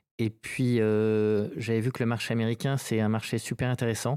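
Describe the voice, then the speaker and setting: Very clean, silent-background audio of a man at medium pitch and a fairly slow pace, dry and close with no echo. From French Basque Country (Saint-Jean-de-Luz). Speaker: company founder. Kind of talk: interview. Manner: halting, many hesitations.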